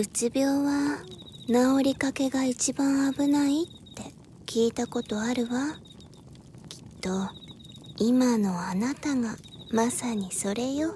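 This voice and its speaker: In a put-on character voice, a soft-spoken, female-sounding speaker talks high for a woman at a very slow pace with long, frequent pauses over clear background noise. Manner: calm, soft, feminine speech (わ, かしら).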